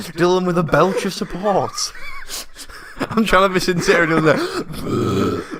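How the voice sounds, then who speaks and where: A man with a high pitch at a fairly slow pace, fairly even intonation and long, frequent pauses, over noticeable background noise. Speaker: podcast co-host. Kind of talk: casual chat. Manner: sounds sarcastic.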